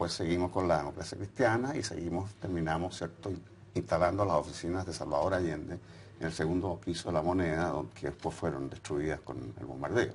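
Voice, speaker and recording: A man talks at a fairly quick pace with a very deep, low pitch and ordinary pitch variation. Noticeable background noise is present. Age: 70s. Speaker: former political activist. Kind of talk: interview. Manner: hesitant, with fillers.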